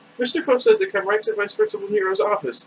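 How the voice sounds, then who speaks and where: A shrill, put-on character voice from a man, pitched extremely high and delivered at a very fast pace. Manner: mimicking, mocking.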